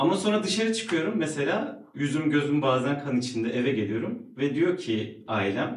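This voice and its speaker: This man's voice sits fairly high and moves at a moderate pace. His pitch swings very widely. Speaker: resident doctor. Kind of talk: live podcast conversation.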